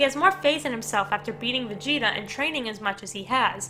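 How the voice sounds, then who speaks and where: Over background music, a woman with an American accent speaks fairly quickly at a fairly high pitch with lively intonation. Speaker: anime analysis youtuber. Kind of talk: scripted commentary.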